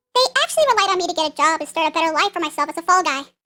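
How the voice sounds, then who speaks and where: The voice is a put-on character with an extremely high, squeaky pitch. It races along at a very fast pace. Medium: machinima. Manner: insecure, self-deprecating.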